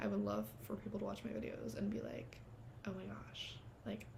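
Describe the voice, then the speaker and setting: There's noticeable background noise along with audible room echo. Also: woman. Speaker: vlogger starting a podcast. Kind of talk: casual monologue to camera. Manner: fast; animated. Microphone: cheap little clip mic.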